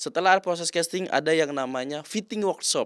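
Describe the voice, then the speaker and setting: On a very clean recording with a silent background, a man speaks at a fairly quick pace with lively intonation, the sound dry and close with no echo. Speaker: commercial actor. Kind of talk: interview. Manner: casual.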